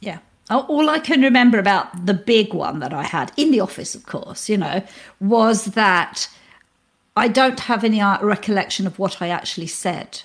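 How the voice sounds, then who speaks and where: A woman with a British accent, a fairly high pitch, lively intonation, big swings in loudness and a moderate pace. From UK. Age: 60s. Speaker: mindfulness teacher, former neuroscientist. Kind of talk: interview.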